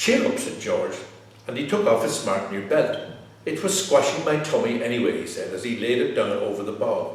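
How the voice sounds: Natural voice, reading aloud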